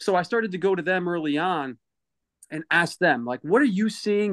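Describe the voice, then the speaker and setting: An American accent at a fairly quick pace against a quiet background. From Connecticut (Waterbury). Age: 40s. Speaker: youth sports advocate. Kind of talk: interview conversation.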